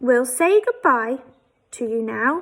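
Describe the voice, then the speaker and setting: A woman's put-on character voice, high-pitched with a warm tone. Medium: read story. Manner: warm, friendly.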